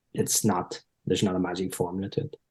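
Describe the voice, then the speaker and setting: A man with an Irish accent speaks at a moderate pace in a dark, mellow tone. The background is quiet. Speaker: performance psychologist, former footballer. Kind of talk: podcast interview.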